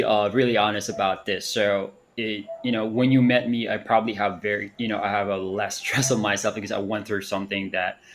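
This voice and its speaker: Fairly quick speech from a man with a fairly low pitch and fairly even intonation, hardly any pauses, and noticeable background noise. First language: not English. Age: 30s. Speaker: panelist. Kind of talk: live audio panel discussion. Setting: online audio space. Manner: halting, many fillers.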